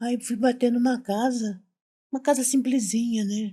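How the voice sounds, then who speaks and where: Her voice is dark and mellow, with a somewhat breathy edge, as this woman talks. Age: 60s. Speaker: retired domestic worker, mother of the host. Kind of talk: casual interview storytelling.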